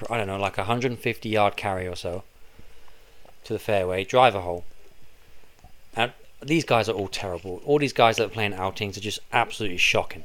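Speaking with a southern English accent, a man with a fairly low pitch talks at a fairly quick pace with long, frequent pauses, in a very clean recording with a silent background. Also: ordinary pitch variation. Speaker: podcast co-host, golf caddie. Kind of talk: casual chat. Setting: home recording room.

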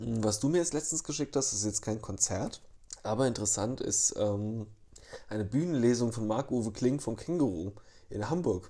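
With a dark, mellow tone and a somewhat breathy quality, a man speaks at a medium pitch and moderate pace with ordinary pitch variation. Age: 30s. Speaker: podcast co-host. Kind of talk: casual chat.

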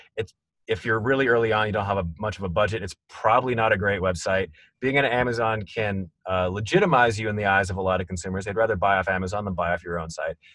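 Over a quiet background, the speaker talks at a very fast pace in a bright, sharp tone with ordinary pitch variation. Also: man, fairly low pitch for a man. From small town. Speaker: podcast host. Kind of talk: interview. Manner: hesitant, many fillers.

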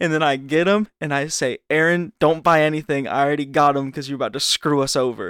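A man's plain, everyday voice, fairly high in pitch, fairly quick, with fairly even intonation and hardly any pauses. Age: 20s. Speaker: podcast co-host. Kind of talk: casual chat.

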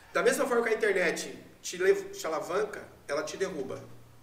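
A man talks at a fairly quick pace. Audible room echo and noticeable background noise are present. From Brazil, São Paulo state. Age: 40s. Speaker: marketing agency owner. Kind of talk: interview.

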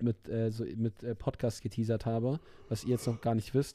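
On a very clean recording with a silent background, a man with a dark, mellow tone speaks at a moderate pace. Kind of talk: casual chat. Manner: animated, halting.

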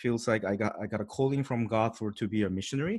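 A man speaks at a medium pitch with a Korean accent. The recording is very clean, with a silent background. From South Korea. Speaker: pastor. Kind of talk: interview. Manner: halting.

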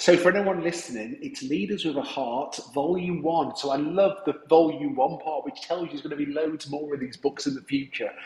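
A man talks at a fairly quick pace with a fairly high pitch. Noticeable background noise runs underneath. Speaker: podcast host, business coach. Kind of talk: interview. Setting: glass booth in remote working center. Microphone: echoey sound.

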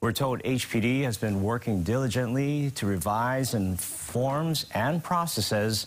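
The intonation rises and falls in a lively way. It is an unremarkable speaking voice. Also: man. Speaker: news anchor. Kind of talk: news reading. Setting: studio.

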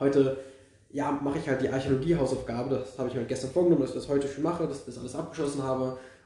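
Over noticeable background noise and audible room echo, a man with a fairly high pitch speaks very fast in a monotone, flat intonation. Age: 20s. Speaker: podcast co-host, history and archaeology student. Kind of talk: casual chat.

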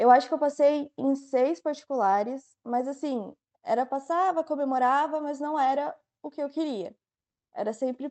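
A woman talks in a high pitch, keeping a moderate pace. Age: 20s. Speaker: medical student. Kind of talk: casual interview.

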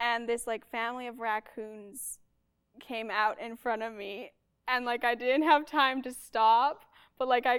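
A high-pitched woman's voice at a fairly slow pace, with fairly even intonation and big swings in loudness, on a very clean recording with a silent background. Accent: Canadian. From Manitoba, Canada. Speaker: music student and percussionist. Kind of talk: casual chat.

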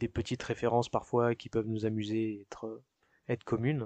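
A man's fairly quick, monotone, flat delivery in a dry, close sound with no echo and a quiet background. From France, Paris region (Yvelines). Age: 30s. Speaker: working-holiday immigrant. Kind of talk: interview testimony. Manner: hesitant, frequent filler euh.

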